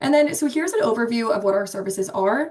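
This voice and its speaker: A woman in an American accent talks at a fairly quick pace with a fairly high pitch. Her voice is somewhat breathy, with ordinary pitch variation. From Pennsylvania, Pittsburgh, US. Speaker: marketing specialist, webinar presenter. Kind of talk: webinar presentation. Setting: online webinar. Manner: many filler ums, casual.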